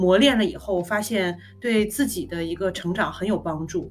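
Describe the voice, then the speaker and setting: Lively intonation over music in the background. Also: woman. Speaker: marketing professional, former international student. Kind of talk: casual interview, personal story.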